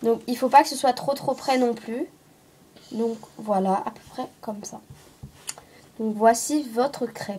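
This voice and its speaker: A very slow delivery with long, frequent pauses, fairly even intonation and noticeable background noise. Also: woman, fairly high pitch for a woman. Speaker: craft tutorial maker. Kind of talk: tutorial. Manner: hesitant, many fillers.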